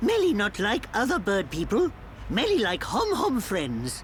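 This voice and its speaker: A cartoonish character voice talks at a moderate pace. Clear background noise is present. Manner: broken third-person speech.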